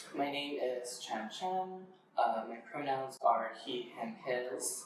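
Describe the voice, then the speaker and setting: With an American accent and ordinary pitch variation, the voice speaks at a very slow pace amid noticeable background noise and audible room echo. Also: man, fairly high pitch for a man. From Western Massachusetts, Amherst. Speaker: poet. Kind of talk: interview. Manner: hesitant with frequent fillers.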